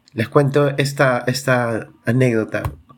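A medium-pitched man talks very slowly, his pitch varying in an ordinary way. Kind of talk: devotional talk. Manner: coughing at times.

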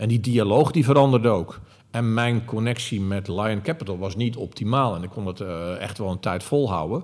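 This man has a plain, everyday voice, fairly low in pitch, with ordinary pitch variation. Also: moderate pace. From Netherlands, Zeeland. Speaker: retail executive. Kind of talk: interview. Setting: company head office.

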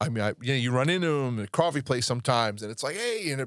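Speaking very fast, a man talks in an American accent. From New York. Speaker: podcast host and songwriter. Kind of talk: casual chat. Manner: intense, animated.

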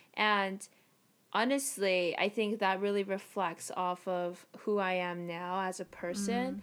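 Her pace is very slow. A woman speaks at a medium pitch with fairly even intonation. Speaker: grad student and podcast host. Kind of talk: casual chat.

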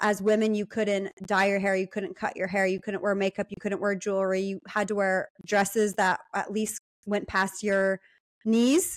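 A woman with an American accent speaks at a moderate pace and medium pitch in a flat monotone, on a very clean recording with a silent background and a dry, close sound with no echo. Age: 20s. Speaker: podcaster. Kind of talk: casual chat.

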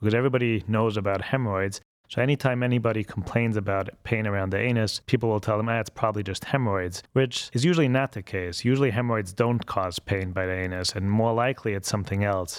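Very fast speech comes from a man with a German accent and ordinary pitch variation. The recording is very clean, with a silent background. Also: fairly low pitch for a man, hardly any pauses. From Austria, Vienna. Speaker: colorectal surgeon. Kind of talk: interview.

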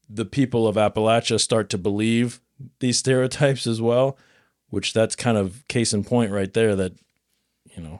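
Recorded with a dry, close sound and no echo, a man talks at a moderate pace with ordinary pitch variation. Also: very clean recording, silent background. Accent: Midwestern American. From Nebraska. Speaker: podcast host. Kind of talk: casual chat.

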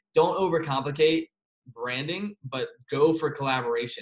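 Somewhat breathy, a man speaks with an American accent. His pitch is fairly high and varies in an ordinary way. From Virginia. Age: young. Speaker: podcast host and influencer. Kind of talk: interview. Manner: fast.

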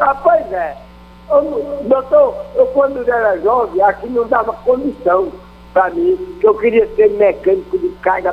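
Through noticeable background noise, a man talks at a fairly slow pace in an extremely high pitch, his voice swinging very widely in pitch. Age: 70s. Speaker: radio caller. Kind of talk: call-in. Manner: halting.

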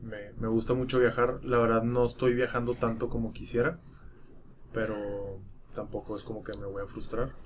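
Moderate pace and fairly even intonation in an ordinary speaking voice. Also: man, medium pitch for a man. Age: 20s. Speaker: podcast co-host. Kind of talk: casual chat.

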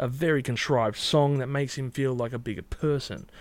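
A man with an Australian accent talks at a fairly high pitch for a man. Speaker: YouTube music reviewer. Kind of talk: casual monologue responding to comments.

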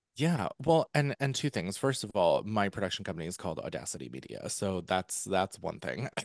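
Hardly pausing, a man with an American accent talks at a fairly quick pace and fairly low pitch, with vocal fry, very wide pitch swings, and a dry, close sound with no echo. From central Pennsylvania. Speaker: author and former musical theatre performer. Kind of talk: casual interview chat.

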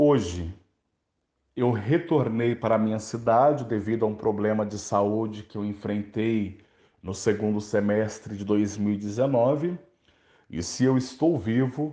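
At a very slow pace, a man speaks in a dark, mellow tone of medium pitch with ordinary pitch variation over a quiet background. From Brazil, interior of Minas Gerais. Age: 30s. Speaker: journalist and campaign founder. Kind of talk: interview monologue.

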